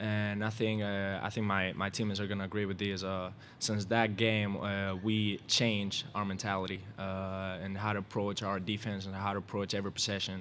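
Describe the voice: A man with a Spanish accent, fairly low-pitched and fairly bright in tone, with little pitch movement and a moderate pace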